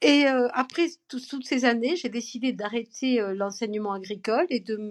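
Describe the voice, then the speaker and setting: A woman's fairly high voice at a moderate pace. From southern France, Perpignan (Catalan). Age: 50s. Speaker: French teacher and grandmother. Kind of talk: podcast interview. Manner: hesitant, many fillers.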